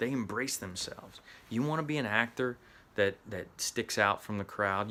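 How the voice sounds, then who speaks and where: In a Southern US accent, a man speaks at a fairly quick pace. His tone is bright and sharp, with ordinary pitch variation. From US Midwest. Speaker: actor and acting coach. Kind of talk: motivational talk.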